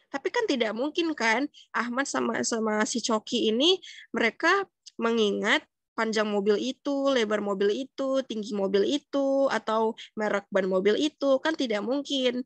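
In an ordinary speaking voice, a woman talks at a moderate pace with a fairly high pitch and lively intonation, the sound dry with no echo and the background quiet. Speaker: psychology student. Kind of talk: educational explainer. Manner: casual, conversational. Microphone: webcam.

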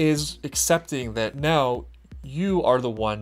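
Pitch variation is ordinary in what this man says. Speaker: reaction video host. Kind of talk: commentary. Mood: reflective, earnest. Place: home room.

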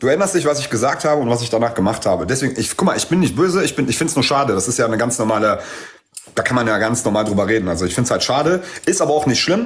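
A man speaks at a very fast pace. His loudness stays very even throughout. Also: medium pitch for a man, lively intonation. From Aramean background. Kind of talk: casual chat.

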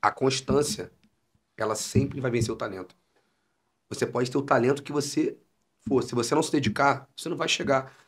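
A somewhat breathy man at a moderate pace, with long, frequent pauses and a quiet background. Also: medium pitch for a man, ordinary pitch variation. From Niterói / São Gonçalo, Rio de Janeiro state, Brazil; Rio de Janeiro state, Brazil. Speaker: comedian and musician; comedian. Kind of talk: casual chat. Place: studio. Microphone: studio mic.

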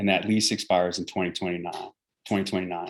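With an eastern US accent, a man speaks in a very deep, low pitch and a monotone, flat intonation. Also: very clean recording, silent background. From New York City suburbs. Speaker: military garrison commander. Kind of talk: town meeting briefing and Q&A. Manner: halting, many fillers and repeats.

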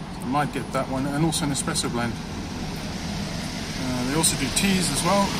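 A man talks at a fairly quick pace with ordinary pitch variation. Loud background noise fills the recording. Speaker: vlogger filming a shop. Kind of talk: casual vlog chat. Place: street. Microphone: phone near.

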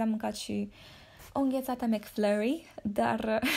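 Somewhat breathy, a woman speaks with a fairly high pitch and a dark, mellow tone. Her pace is fairly slow. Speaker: fitness influencer. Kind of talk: casual monologue. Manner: animated.

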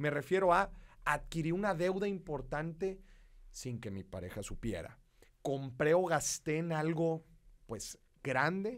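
In a quiet background, a man with a fairly high voice sounds animated, using lively intonation at a moderate pace. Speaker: podcast host. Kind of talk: casual chat. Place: studio. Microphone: studio mic.

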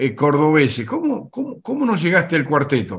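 Very wide pitch swings from a man against a quiet background. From Argentina. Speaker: interviewer. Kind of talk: interview. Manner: halting, repeats words. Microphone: video call.

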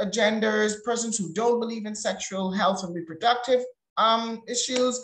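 Audible room echo surrounds a woman whose fairly high voice shows ordinary pitch variation. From Bahamas. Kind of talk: webinar panel talk.

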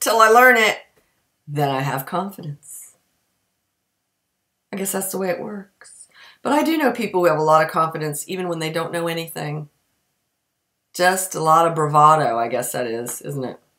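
Against a quiet background, a woman with a fairly low voice and a bright, sharp tone talks at a moderate pace with lively intonation, big swings in loudness, and long, frequent pauses. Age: 50s. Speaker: community theatre actor. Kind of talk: casual talk to camera. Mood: wry, self-mocking. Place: kitchen. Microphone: webcam.

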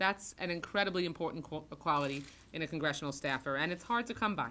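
A woman speaks in a fairly low pitch with lively intonation. Her tone is bright and sharp. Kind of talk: formal tribute speech. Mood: solemn, earnest. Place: meeting room. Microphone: podium.

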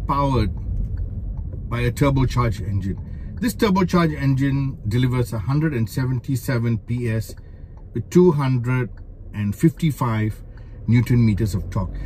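Very slowly, a man talks while light background noise sits behind him. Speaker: car reviewer driving. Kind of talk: commentary. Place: car. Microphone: phone near.

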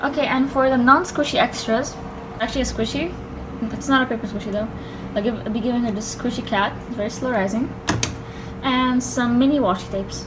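Noticeable background noise under a woman's high voice, fairly quick, with ordinary pitch variation. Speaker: pretend shop seller packing an order. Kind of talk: casual vlog chat. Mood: cheerful, excited. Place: home room. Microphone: phone near.

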